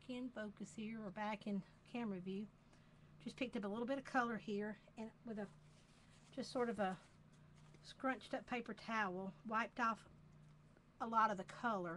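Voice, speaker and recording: A woman in a Southern US accent speaks at a moderate pace with fairly high pitch, ordinary pitch variation, big swings in loudness and long, frequent pauses. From US South, Georgia. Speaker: craft demonstrator. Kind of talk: tutorial. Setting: live video stream.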